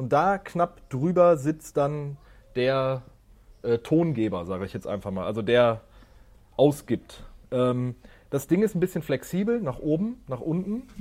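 Speaking at a fairly slow pace, a man with a dark, mellow tone makes very wide pitch swings. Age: 30s. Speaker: podcast co-host. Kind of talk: casual chat. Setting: video call.

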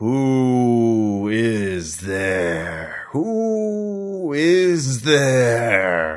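A man's booming, put-on character voice. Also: medium pitch for a man. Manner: demanding, calling out.

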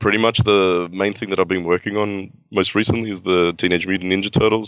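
Speaking at a fairly quick pace with an Australian accent, a man is heard against a quiet background. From Australia (Sydney). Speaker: comic book artist. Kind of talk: interview. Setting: video call.

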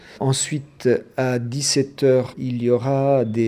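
A man speaks with an Italian accent. His tone is dark and mellow. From central Italy. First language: Italian (speaking French). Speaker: association organizer. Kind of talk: radio interview.

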